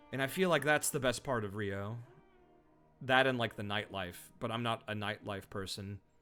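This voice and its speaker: With music in the background, a man speaks at medium pitch with ordinary pitch variation. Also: moderate pace. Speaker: video game streamer. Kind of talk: casual live-stream chat. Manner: casual with fillers and restarts.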